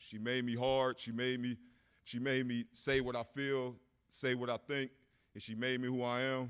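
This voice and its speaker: A man's medium-pitched voice in an American accent, at a moderate pace, with monotone, flat intonation. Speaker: hall of fame inductee, former football player. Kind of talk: acceptance speech. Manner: halting, off the cuff.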